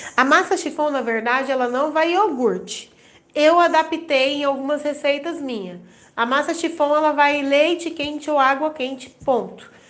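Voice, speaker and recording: A woman with a high voice talks, her pitch varying an ordinary amount. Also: moderate pace. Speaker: baking instructor. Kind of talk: live stream tutorial.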